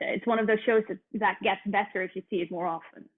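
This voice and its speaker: Speaking with a Dutch accent, a woman's voice sits fairly high. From Netherlands. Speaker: musical theatre actress. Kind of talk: interview. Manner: hesitant, many fillers.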